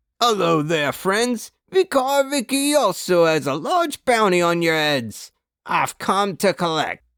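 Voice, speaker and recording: Bellowing in a put-on character voice, a man swings through very wide pitch changes at a high pitch and a fairly slow pace. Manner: roaring, menacing.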